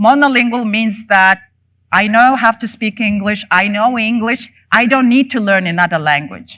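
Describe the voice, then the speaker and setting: A voice with a Mongolian accent, a bright, sharp tone, ordinary pitch variation and a moderate pace. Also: woman, fairly high pitch for a woman. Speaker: professor. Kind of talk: lecture. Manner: halting, many fillers.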